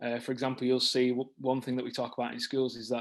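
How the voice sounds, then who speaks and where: A man talks at a very fast pace with a medium pitch. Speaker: author and former teacher, training company founder. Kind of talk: interview on video call meeting. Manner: fast, many fillers and restarts.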